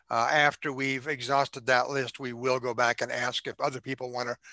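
A man speaks in a monotone, flat delivery at a moderate pace. The sound is dry with no echo, and the background is quiet. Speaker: forum moderator. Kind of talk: meeting introduction. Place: home room. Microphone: headset.

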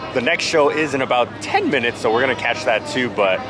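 Fairly quick speech in a dry sound with no echo, amid noticeable background noise. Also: man. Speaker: travel vlogger. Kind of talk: casual vlog chat. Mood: excited and upbeat. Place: street. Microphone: phone near.

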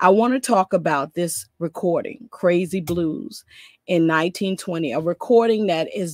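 The background is quiet and the sound is dry with no echo. A woman speaks fairly slowly with ordinary pitch variation. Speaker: scholar giving lecture. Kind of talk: lecture. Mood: earnest, measured. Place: home room. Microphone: webcam.

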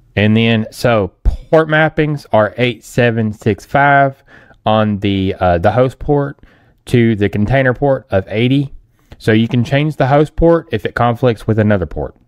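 Music plays in the background as a man speaks. His pace is fairly slow, with ordinary pitch variation. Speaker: tech tutorial creator. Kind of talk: tutorial.

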